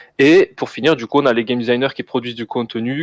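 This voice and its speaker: With fairly even intonation, the words pour out at a very fast pace. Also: man, dry, close sound with no echo. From southern France, Toulouse. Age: 20s. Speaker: game designer. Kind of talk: interview.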